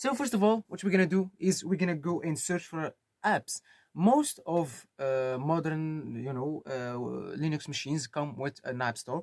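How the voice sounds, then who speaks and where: Lively intonation and a fairly slow pace come through in a dry, close sound with no echo. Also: man, fairly high pitch for a man. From Morocco. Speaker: tech tutorial YouTuber. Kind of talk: tutorial. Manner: casual, hesitant with fillers.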